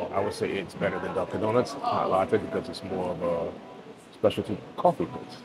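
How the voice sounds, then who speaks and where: Loud background noise fills the recording. Through it, a man keeps a moderate pace. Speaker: vlogger. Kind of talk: casual vlog chat. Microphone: lapel.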